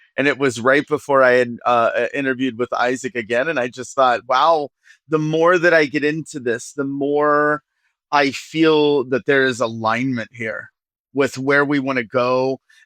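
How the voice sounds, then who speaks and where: Over a quiet background, a man speaks with a Midwestern American accent. His pitch is fairly high, and the sound is dry and close with no echo. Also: moderate pace. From US Midwest, rural Ohio. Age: 40s. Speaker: nonprofit executive director. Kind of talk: podcast interview.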